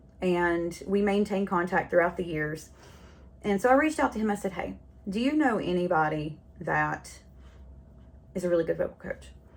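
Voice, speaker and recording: A woman's fairly low voice in a Southern US accent, with lively intonation at a moderate pace and long, frequent pauses. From North Carolina. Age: 40s. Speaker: podcast host. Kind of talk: casual monologue. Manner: chatty, rambling.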